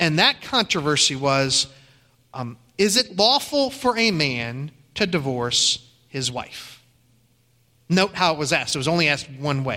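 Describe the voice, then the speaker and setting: A man with an American accent speaks at a fairly slow pace, with long, frequent pauses. His fairly high voice has a bright, sharp tone and lively intonation. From Ohio. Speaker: pastor. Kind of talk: sermon.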